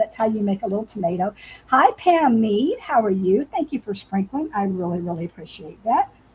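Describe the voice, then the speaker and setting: A woman speaks at a fairly quick pace in a fairly high, somewhat breathy voice with lively intonation. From US South. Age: 60s. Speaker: crafter. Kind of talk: live craft tutorial. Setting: livestream. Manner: casual, chatty.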